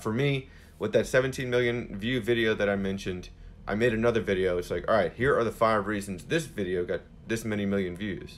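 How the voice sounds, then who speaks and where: A man with a plain, everyday voice, fairly quick pace and ordinary pitch variation. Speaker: social media coach. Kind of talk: live Q&A answer. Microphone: phone near.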